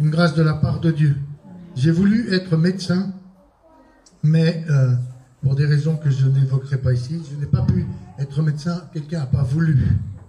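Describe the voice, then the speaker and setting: A man's voice with fairly even intonation and audible echo from the room. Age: 60s. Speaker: apostle, preacher. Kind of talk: sermon.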